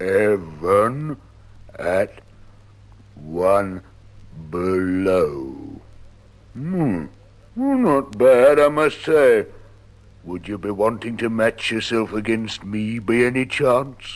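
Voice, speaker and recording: A man does a put-on character voice at a medium pitch. He goes at a very slow pace, with long, frequent pauses. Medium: read story. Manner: slow, dull.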